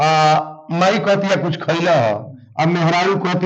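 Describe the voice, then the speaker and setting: The speaker has a Bhojpuri accent. Pitch varies in an ordinary way. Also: man. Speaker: religious storyteller. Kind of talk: interview answer.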